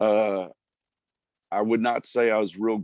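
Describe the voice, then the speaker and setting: A man with a Texan accent is heard in a dry, close sound with no echo over a quiet background. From Texas (Houston, Conroe). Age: 60s. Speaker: singer-songwriter and musician. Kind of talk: interview. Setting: video call. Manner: halting, many fillers.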